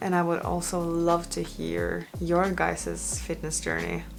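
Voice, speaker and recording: At a fairly slow pace, a woman talks in a room with audible echo. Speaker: fitness vlogger. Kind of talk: casual vlog talk to camera. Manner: hesitant, many fillers.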